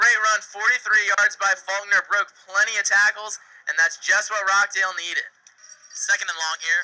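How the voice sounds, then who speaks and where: Raised and projected, a man's voice sits high in pitch with a bright, sharp tone. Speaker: sports broadcaster. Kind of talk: football play-by-play commentary. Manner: fast, excited.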